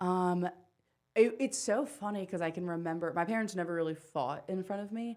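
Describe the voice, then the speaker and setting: A woman with an American accent has a plain, everyday voice at medium pitch, talking at a fairly quick pace with ordinary pitch variation. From rural Pennsylvania. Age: 20s. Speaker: stand-up comedian. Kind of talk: casual chat. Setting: studio.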